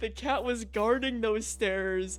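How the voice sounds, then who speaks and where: An American accent over music in the background. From US upper Midwest, Chicago and Wisconsin suburbs. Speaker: gaming streamer. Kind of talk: casual chat. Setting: live stream. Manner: halting, repetitive fillers.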